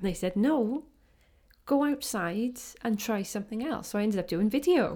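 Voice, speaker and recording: In a South Wales accent, a woman with a fairly high pitch and a dark, mellow tone talks at a moderate pace with lively intonation on a very clean recording with a silent background. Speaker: photographer. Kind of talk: casual interview.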